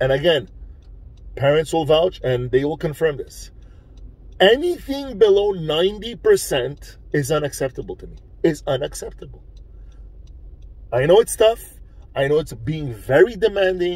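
A man speaks at a moderate pace with long, frequent pauses and big swings in loudness, in a dry sound with no echo. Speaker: coach. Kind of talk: motivational vlog talk. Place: car. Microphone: phone near.

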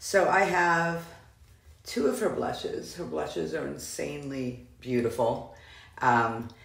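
A woman speaks at a very slow pace. Her voice carries audible room echo. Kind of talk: casual product review chat. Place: bathroom. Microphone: phone near.

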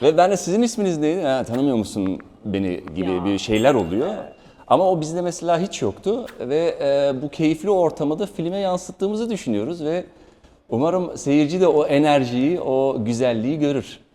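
Speaking at a moderate pace, a man with a dark, mellow tone and a fairly high pitch makes very wide pitch swings. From Germany. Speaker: actor. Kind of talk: promotional interview.

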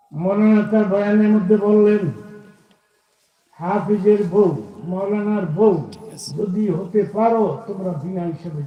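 Speaking with fairly even intonation, a man with a high pitch shows big swings in loudness. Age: 80s+. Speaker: Islamic preacher. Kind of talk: Islamic sermon (waz) to a live audience.

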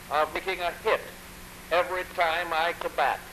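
Light background noise sits behind a man with a high pitch. His intonation is monotone and flat. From United States. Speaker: president. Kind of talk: radio address to the nation. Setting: 1930s radio broadcast recording. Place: office. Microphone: old recording.

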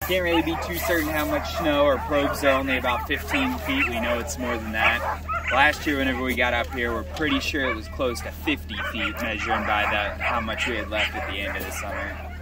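Over loud background noise, the speech moves at a fairly quick pace with hardly any pauses and a dry sound with no echo. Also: man. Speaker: dog sled guide. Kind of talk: tour guide briefing. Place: open country. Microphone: camera far.

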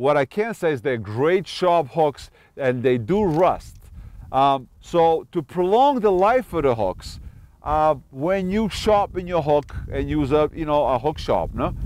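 A man at a fairly slow pace, the sound dry with no echo. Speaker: fishing show host. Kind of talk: tutorial. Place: street. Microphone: lapel.

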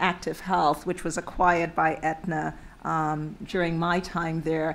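A woman with a fairly low pitch talks in an ordinary speaking voice. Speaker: panel moderator. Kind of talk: panel introduction. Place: hall. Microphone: podium.

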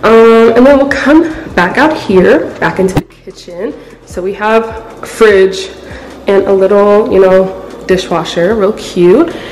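Talking fairly slowly, a woman is heard with faint music in the background. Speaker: vlogger. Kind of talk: casual vlog chat. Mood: excited, upbeat. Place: home room. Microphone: phone near.

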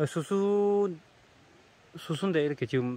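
A man's voice with very wide pitch swings, in dry sound with no echo. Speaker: documentary host. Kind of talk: casual narration to camera. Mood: admiring, warm. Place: farm. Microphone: phone near.

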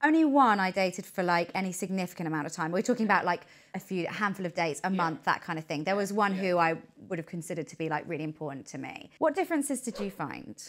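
Against a quiet background, a woman with a British accent speaks with lively intonation. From England. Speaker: YouTube show host. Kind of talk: casual chat. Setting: studio sofa. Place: home room. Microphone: lapel.

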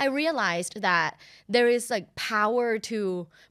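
Against a quiet background, a woman speaks in a fairly high voice with a bright, sharp tone and lively intonation. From Thailand. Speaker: sex and relationship educator, podcast host. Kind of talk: casual interview chat. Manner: animated, laughing often. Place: studio. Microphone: studio mic.

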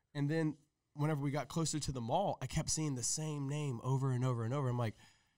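Speaking at a very fast pace, a man keeps his loudness very even. His tone is dark and mellow, with fairly even intonation. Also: quiet background. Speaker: podcast guest. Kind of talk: interview answer. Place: studio. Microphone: studio mic.

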